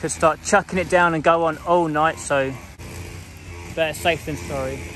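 A man speaks at a fairly high pitch and a moderate pace. His tone is fairly bright.

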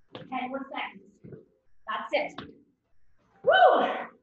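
A woman is heard with strong room echo. Light background noise runs underneath. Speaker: fitness instructor. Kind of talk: workout coaching. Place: home room. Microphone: camera far.

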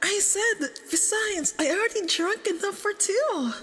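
A woman's put-on character voice at an extremely high pitch, fairly bright in tone, with lively intonation at a fairly slow pace.

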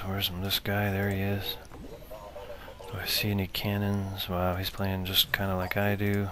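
A man talks in a monotone, flat intonation over noticeable background noise. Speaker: gamer commentating own match. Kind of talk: live game commentary.

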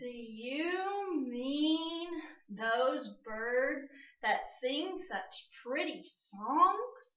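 A loud, high-pitched, put-on character voice at a very slow pace. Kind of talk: children's storytime voice. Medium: read story. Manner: loud, brash, playful.

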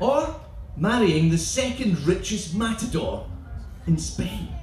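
A man speaks at a very slow pace in a Scottish accent. There is audible room echo and light background noise. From Scotland. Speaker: performance poet. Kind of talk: comic spoken word poetry performance. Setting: live festival stage. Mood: comic, rhythmic delivery. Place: tent.

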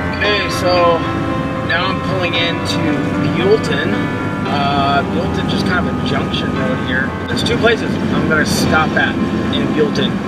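A man speaks at a fairly slow pace, with long, frequent pauses. Music is clearly audible in the background. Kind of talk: casual vlog chat. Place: car. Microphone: phone near.

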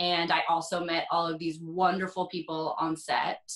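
In an American accent, a woman speaks at a fairly slow pace. She has a plain, everyday voice with a fairly low pitch. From US South, East Tennessee near Knoxville. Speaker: actress. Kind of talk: interview.

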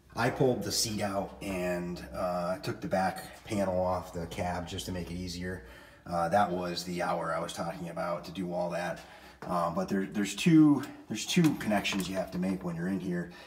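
With light background noise behind him, a man speaks at a moderate pace in a very deep, low voice with ordinary pitch variation. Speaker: tractor owner. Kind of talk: tutorial. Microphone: phone near.

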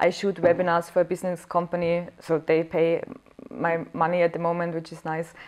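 Over a quiet background, a woman with a fairly low pitch talks at a fairly quick pace in a monotone, flat intonation. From Austria. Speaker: comedian and actress. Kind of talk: interview. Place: home room.

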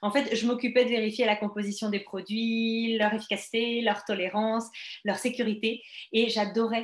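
With a slight French accent, a woman speaks at a moderate pace, audible room echo around her and a quiet background. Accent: slight France French. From France. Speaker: network marketing business presenter; presenter. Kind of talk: sales pitch. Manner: hesitant, many fillers. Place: home room. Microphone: webcam.

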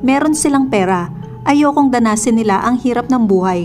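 Music plays in the background as a woman speaks. Her pace is moderate and her intonation lively. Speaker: news narrator. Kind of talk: narration reading an article.

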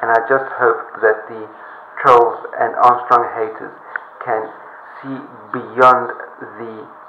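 A man's flat, monotone voice with audible room echo and light background noise. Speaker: cycling coach vlogger. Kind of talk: casual vlog commentary. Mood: earnest, appealing. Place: bathroom. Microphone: webcam.

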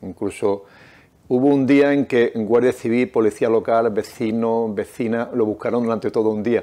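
A man speaks at medium pitch with a dark, mellow tone. His intonation stays fairly even at a moderate pace. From Nerva, Huelva, Andalusia, Spain; Andalusia, Spain. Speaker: novelist and restaurant owner; interviewee. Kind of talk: reading aloud; interview. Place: studio. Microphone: lapel.

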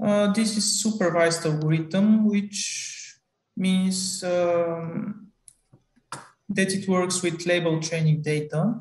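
With a Bulgarian accent, a man talks at a very slow pace in a high pitch and fairly even intonation, with audible room echo around him. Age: 20s. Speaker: student researcher; conference presenter. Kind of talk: conference talk. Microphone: video call.

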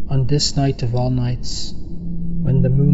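Music plays in the background. A man is speaking. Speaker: animator and poet. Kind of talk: poetry reading. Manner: slow, atmospheric.

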